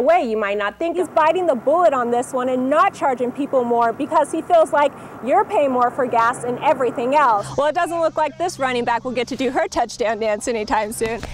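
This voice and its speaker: Through noticeable background noise, a woman with a high pitch talks fairly quickly with lively intonation and hardly any pauses. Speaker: broadcast journalist, TV news reporter. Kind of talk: TV news reporting, stand-ups and voiceover packages.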